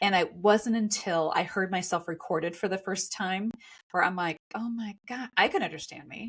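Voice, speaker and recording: The tone is animated and somewhat breathy. Pitch varies in an ordinary way. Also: woman, medium pitch for a woman. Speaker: podcast host. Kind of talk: casual chat. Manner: fast.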